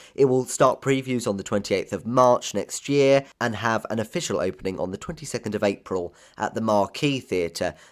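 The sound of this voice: A man talks at a moderate pace with a fairly low pitch. His pitch varies in an ordinary way.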